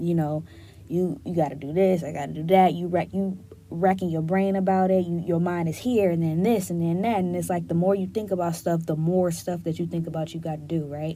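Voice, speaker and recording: In a room with audible echo, a woman with fairly low pitch and a dark, mellow tone speaks with fairly even intonation. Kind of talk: casual solo podcast talk. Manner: gets loud when passionate.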